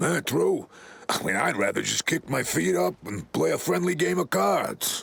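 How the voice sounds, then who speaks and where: A man puts on a raspy character voice with a fairly low pitch. He keeps a moderate pace. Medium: video game.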